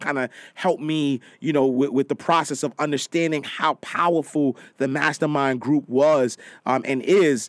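The recording is very clean, with a silent background and a dry, close sound with no echo. A man speaks at a fairly high pitch. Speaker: motivational speaker and personal finance writer. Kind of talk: casual interview chat. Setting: studio. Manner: loud, animated.

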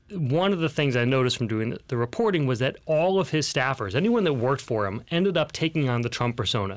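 A man with an ordinary speaking voice talks at a fairly quick pace and medium pitch, with lively intonation and very even loudness, on a very clean recording with a silent background. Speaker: guest co-host. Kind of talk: casual banter, business podcast. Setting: studio.

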